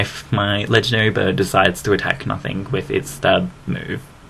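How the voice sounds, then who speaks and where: A man in an Australian accent at a fairly low pitch, with noticeable background noise. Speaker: gaming commentator. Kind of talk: game commentary narration. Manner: casual, rambling and fast.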